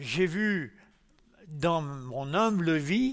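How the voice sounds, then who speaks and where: A man speaks at a high pitch with very wide pitch swings. The recording is very clean with a silent background. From France, Lyon. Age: 80s+. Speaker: church testimony speaker. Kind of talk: testimony.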